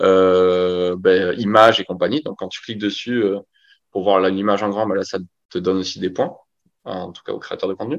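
With a normal speaking voice, a man talks at a moderate pace and a fairly low pitch, his intonation fairly even but with big swings in loudness, over a quiet background. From rural France. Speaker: growth marketing agency founder. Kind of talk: interview. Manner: casual.

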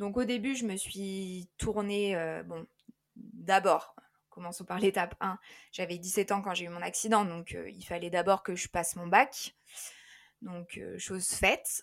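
Very slow speech with big swings in loudness and fairly even intonation, on a very clean recording with a silent background. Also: woman, medium pitch for a woman. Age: 20s. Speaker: life coach. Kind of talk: interview. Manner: hesitant, many fillers.

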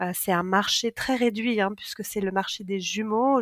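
A woman with a normal speaking voice talks at a fairly slow pace, her medium pitch held in fairly even intonation. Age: 40s. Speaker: book writing coach and co-author. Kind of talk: interview conversation.

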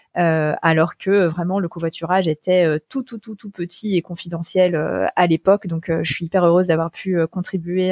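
Monotone and flat, a woman speaks at a moderate pace in a dry, close sound with no echo. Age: 30s. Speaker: founder and CEO of a sustainable mobility company. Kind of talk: interview. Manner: hesitant, many fillers.

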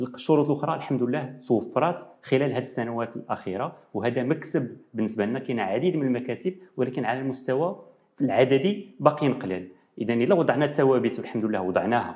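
A man speaks with a Moroccan accent at a fairly quick pace. His pitch is medium, with ordinary variation. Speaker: nephrology professor. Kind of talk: TV interview.

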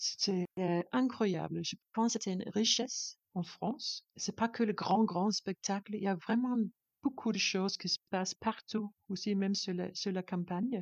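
A woman speaks with a Danish accent. Her pitch sits in the medium range. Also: fairly slow pace. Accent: Danish accent, sing-song. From Denmark. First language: Danish (speaking French). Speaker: composer and performer. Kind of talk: interview. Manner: halting, non-native French.

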